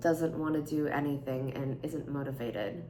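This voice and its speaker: A woman with a very deep, low pitch talks at a moderate pace. Audible room echo surrounds her voice. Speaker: vlogger. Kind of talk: casual chat.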